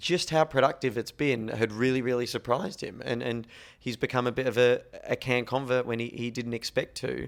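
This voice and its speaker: An Australian accent marks this man's medium-pitched voice, with fairly even intonation at a moderate pace. The recording is very clean, with a silent background. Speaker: podcast host. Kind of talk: casual podcast chat. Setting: apartment at festival.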